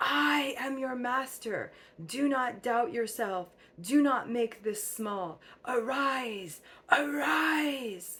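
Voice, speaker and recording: A female-sounding, put-on character voice, shouting and raised in projection, high in pitch and very slow. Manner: forceful, commanding shout.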